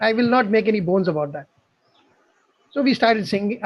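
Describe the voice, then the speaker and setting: A man's high voice with a Tamil accent, at a very fast pace with lively intonation. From South India, Bangalore. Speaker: amateur singer. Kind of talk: casual chat.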